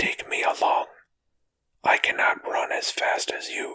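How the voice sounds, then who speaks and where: A raspy, put-on character voice whispers. It moves at a fairly slow pace. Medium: read story.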